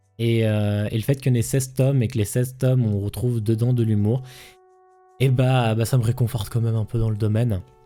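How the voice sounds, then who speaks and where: In a monotone, flat intonation at medium pitch, a man talks at a fairly quick pace with very even loudness while music plays in the background. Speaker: streamer presenting manga. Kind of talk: casual live stream talk. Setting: live stream. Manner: fast; hesitant, many fillers and repeats.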